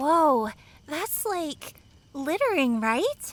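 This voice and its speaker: A woman puts on a character voice, high in pitch. It has very wide pitch swings. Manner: upbeat.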